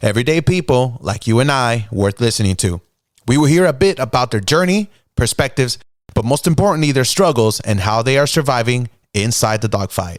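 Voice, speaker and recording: In a very clean recording with a silent background, a man with a normal speaking voice and medium pitch talks at a fairly quick pace, with lively intonation and very even loudness. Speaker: podcast host. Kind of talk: podcast intro. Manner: upbeat.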